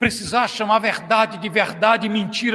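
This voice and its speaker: A man shouting in a raised, projected voice, passionate in tone, with an extremely high pitch. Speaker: pastor. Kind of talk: sermon. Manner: loud, shouting.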